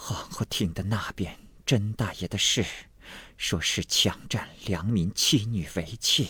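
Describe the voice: The text is simply read out plainly.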